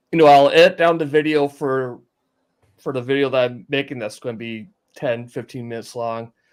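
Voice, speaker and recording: A medium-pitched man with a North Dakota accent at a fairly quick pace. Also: ordinary pitch variation. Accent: Fargo. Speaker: ham radio operator, video maker. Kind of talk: casual chat. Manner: halting.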